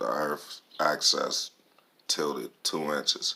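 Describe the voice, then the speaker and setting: A man is speaking over noticeable background noise. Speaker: vlogger. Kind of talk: casual monologue. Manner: soft-spoken.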